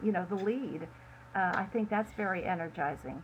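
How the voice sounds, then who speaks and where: Medium pitch and ordinary pitch variation in a woman's somewhat breathy voice. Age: 70s. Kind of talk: interview. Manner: halting.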